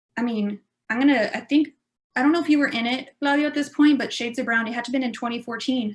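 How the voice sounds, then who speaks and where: Ordinary pitch variation in a South Texas accent. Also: woman. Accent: South Texas Mexican-American English. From Texas, Rio Grande Valley. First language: Spanish / Spanglish. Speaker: improv performer. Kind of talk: panel discussion. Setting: video call.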